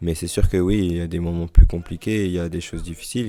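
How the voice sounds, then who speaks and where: With a dark, mellow tone and a very deep, low pitch, a man talks at a very fast pace. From Paris region, France (Hauts-de-Seine). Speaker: professional footballer. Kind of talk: interview. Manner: halting, many repetitions; casual, friendly.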